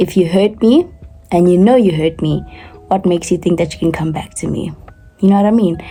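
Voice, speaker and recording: Background noise is noticeable behind a woman's voice. Her pitch is fairly low, and her intonation is fairly even. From South Africa, Gauteng. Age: 20s. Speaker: artist, college student vlogger. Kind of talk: casual talk to camera.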